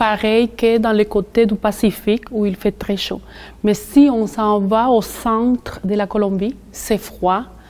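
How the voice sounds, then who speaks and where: The intonation is monotone and flat. The pace is very slow. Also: woman, fairly high pitch for a woman. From Colombia. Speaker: community worker for immigrant women. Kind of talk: interview.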